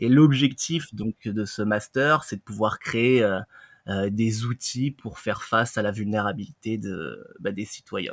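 Very slow speech with ordinary pitch variation, in a dry, close sound with no echo. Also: man, medium pitch for a man. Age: 30s. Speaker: reflexologist. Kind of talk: interview.

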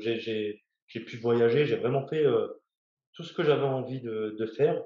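A man is speaking. His pace is very slow. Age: 30s. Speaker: navy helicopter rescue diver. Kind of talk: interview. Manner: halting, many hesitations.

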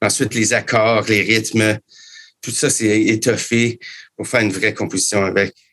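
At a fairly slow pace, a man with a Canadian French accent talks in a fairly low, monotone, flat voice, leaving long and frequent pauses. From Canada. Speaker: musician and composer. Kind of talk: interview.

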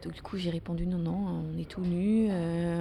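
At a fairly slow pace, a woman speaks in a fairly low, somewhat breathy voice with a dark, mellow tone. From Netherlands. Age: 30s. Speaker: interviewee. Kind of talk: casual chat. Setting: café. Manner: halting.

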